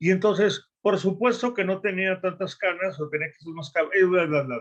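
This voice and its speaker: Pitch moves in a typical way throughout. Delivery is fairly quick. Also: man. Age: 60s. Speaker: coach. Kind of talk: panel discussion.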